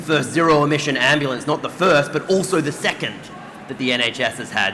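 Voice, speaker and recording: With an Australian accent, a man talks at a fairly quick pace and fairly high pitch with ordinary pitch variation, amid noticeable background noise and audible room echo. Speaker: doctor and health system leader on a panel. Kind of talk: conference panel discussion. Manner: animated.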